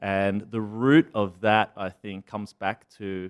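A man with an Australian accent, fairly low pitch and fairly even intonation, on a very clean recording with a silent background. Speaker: startup founder and CEO. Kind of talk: interview. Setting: studio.

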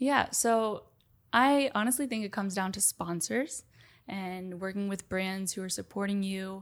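A woman speaks in a normal speaking voice with an American accent. The recording is very clean, with a silent background. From Miami, Florida. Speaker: professional padel player. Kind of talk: interview.

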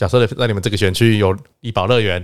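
An ordinary speaking voice from a man at a fairly quick pace, in a dry, close sound with no echo on a very clean recording with a silent background. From Taiwan. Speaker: political staffer. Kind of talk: casual chat.

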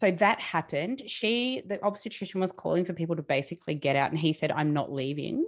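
Over a quiet background, a woman with an Australian accent talks at a very fast pace with hardly any pauses, a fairly low pitch and lively intonation. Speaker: podcast host and magazine publisher. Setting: video call, audio only.

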